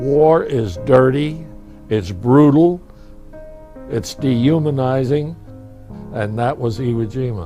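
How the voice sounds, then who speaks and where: A man at medium pitch, speaking at a very slow pace with ordinary pitch variation and long, frequent pauses, music playing in the background. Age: 80s+. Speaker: war veteran. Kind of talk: interview answer.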